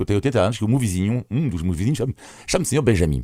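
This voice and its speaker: In a very clean, silent recording with a dry, close sound and no echo, a man with a French accent speaks with lively intonation and a dark, mellow tone. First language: French (speaking Portuguese). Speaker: foreign journalist, weekly commentator. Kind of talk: radio panel commentary.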